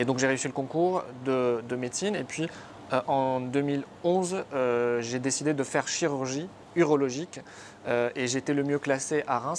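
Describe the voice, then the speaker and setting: His pitch varies in an ordinary way. The man keeps to a moderate pace. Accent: Arabic. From northern Lebanon, near Tripoli. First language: Arabic (speaking French). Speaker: surgeon turned entrepreneur. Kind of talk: interview. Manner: hesitant, many fillers.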